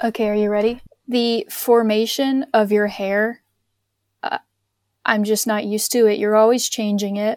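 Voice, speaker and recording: A woman with a slight Southern US accent talks at a moderate pace in a fairly high pitch, her intonation monotone and flat, with long, frequent pauses. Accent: Southern US, slight twang. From North Carolina, near Charlotte. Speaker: anthropologist guest. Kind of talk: casual chat.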